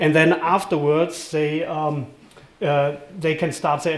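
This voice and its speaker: A fairly high-pitched man's voice in a German accent, at a moderate pace, with noticeable background noise. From Germany. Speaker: event host, board treasurer. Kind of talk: event presentation. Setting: live event with audience. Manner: many filler words and hesitations.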